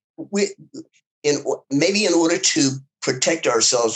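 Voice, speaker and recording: A man with a Southern US accent talks at a moderate pace with lively intonation. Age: 70s. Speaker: civil rights activist. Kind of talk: interview. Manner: halting.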